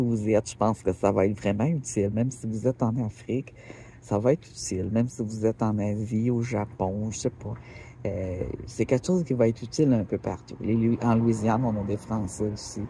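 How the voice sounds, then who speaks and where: A man's fairly low, somewhat breathy voice with a dark, mellow tone, a Quebec accent, fairly even intonation and a moderate pace. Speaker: rockhound YouTuber. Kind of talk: casual vlog talk. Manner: hesitant, many fillers.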